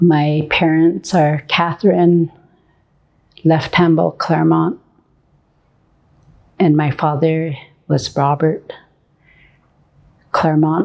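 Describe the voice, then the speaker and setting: Very slow and marked by long, frequent pauses, a woman's very deep, low voice stays monotone and flat. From US Great Plains, Rosebud reservation community. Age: 60s. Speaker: artist. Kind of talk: interview testimony. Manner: halting.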